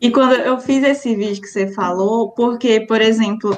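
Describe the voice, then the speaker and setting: Using an unremarkable speaking voice, a woman talks at a fairly slow pace with a fairly high pitch and ordinary pitch variation. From Maranhão, Brazil (Imperatriz). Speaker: physics PhD student and science communicator. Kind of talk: interview.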